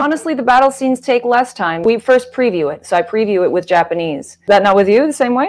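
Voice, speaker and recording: A woman speaks at a high pitch. Her voice moves in very wide pitch swings. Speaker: voice actor. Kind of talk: casual interview conversation. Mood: animated, cheerful. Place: home room. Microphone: video call.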